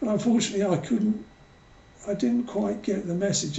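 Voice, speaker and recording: A man speaks with an English accent. Room echo is audible. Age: 60s. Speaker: author. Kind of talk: personal testimony. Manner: hesitant, many fillers.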